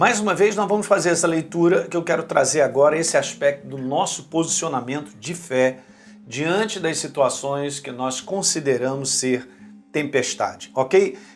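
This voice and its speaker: In an ordinary speaking voice, a man with a fairly high pitch speaks at a moderate pace with ordinary pitch variation. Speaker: preacher. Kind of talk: short devotional sermon. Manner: conversational.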